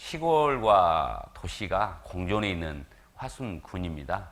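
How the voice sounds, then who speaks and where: Audible room echo surrounds a man with a very deep, low pitch, vocal fry and very wide pitch swings. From South Korea, Jeolla region (Gwangju). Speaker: visiting evangelist preacher. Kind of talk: sermon.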